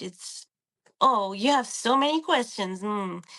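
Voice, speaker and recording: Ordinary pitch variation runs through a tone that is bright and sharp. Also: woman. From France. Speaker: podcast guest. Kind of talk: casual interview conversation.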